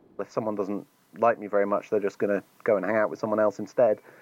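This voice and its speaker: A man talks with an English accent. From England. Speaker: editor and activist. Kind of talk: interview conversation.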